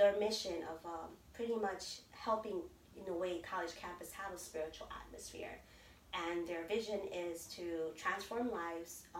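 With an American accent, a woman talks in a normal speaking voice at a moderate pace, her medium pitch showing ordinary variation. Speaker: DACA recipient and pastor. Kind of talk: interview. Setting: in person.

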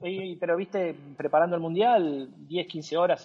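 A man at a high pitch with a Rioplatense accent. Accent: Argentine Rioplatense Spanish. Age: 40s. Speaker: sports journalist and digital content executive. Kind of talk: interview. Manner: talks nonstop; hesitant, with repetitions.

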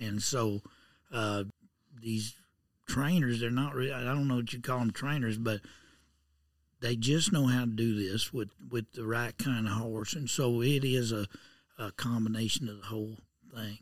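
A man with a rural Southern Plains accent talks at a moderate pace and medium pitch, leaving long, frequent pauses. His intonation is fairly even, on a very clean recording with a silent background. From southern Kansas. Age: 60s. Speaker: horse auctioneer. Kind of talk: interview. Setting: auction barn.

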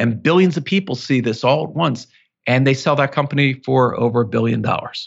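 A man speaks at a medium pitch with vocal fry. His pace is fairly quick. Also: ordinary pitch variation. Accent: American. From US Northeast, Philadelphia. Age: 50s. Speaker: author and entrepreneur. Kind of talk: interview.

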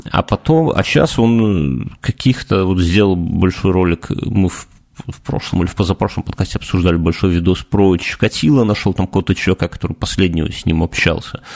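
There is a dry, close sound with no echo as a man speaks at a fairly quick pace. His pitch is very deep and low, with ordinary variation. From Belarus. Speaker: podcast co-host. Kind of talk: casual chat.

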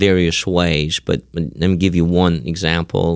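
Moderate pace and fairly even intonation from a man with very deep, low pitch. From former Soviet Union. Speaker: seminary professor. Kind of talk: interview conversation. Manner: halting, with fillers.

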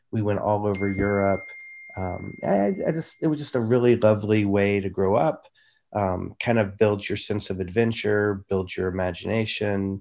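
Speaking at a moderate pace, a man uses a fairly low pitch and fairly even intonation. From mobile childhood, US military family, partly Germany. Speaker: entrepreneur, wellness business owner. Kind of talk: interview. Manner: halting, repeats words.

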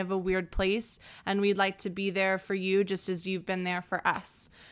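In a normal speaking voice, a woman talks at a moderate pace and medium pitch with an American accent. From Texas, San Antonio. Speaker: podcast host. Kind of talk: casual interview.

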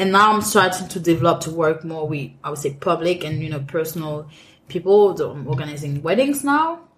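Speaking with a French accent, a woman goes at a fairly quick pace, using a fairly low pitch and lively intonation. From Cameroon. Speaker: restaurant manager and event planner. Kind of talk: interview conversation. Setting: in-person interview. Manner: frequent laughter.

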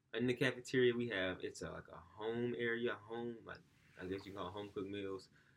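A man with a medium pitch delivers his words at a fairly quick pace. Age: 20s. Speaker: college student. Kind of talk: casual chat. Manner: animated storytelling.

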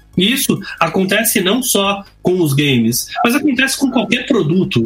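At a fairly slow pace, the speaking comes through noticeable background noise. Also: man. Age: 50s. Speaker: video game developer. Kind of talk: casual chat.

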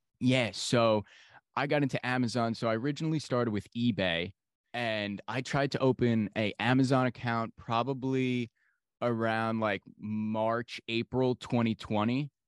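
A man with a normal speaking voice and an American accent talks at a fairly slow pace, with medium pitch and fairly even intonation. The sound is dry and close with no echo, against a quiet background. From New York. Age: 20s.

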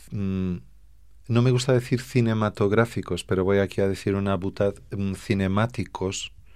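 At a fairly slow pace, a man speaks in a fairly low pitch with fairly even intonation. The recording is very clean, with a silent background. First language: Portuguese (speaking Spanish). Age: 40s. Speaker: fado singer and songwriter. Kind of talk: radio interview.

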